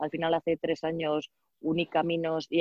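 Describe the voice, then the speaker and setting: A woman with a very deep, low voice talks at a fairly quick pace. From Spain, Valladolid. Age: 30s. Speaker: DJ and entrepreneur. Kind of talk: casual interview.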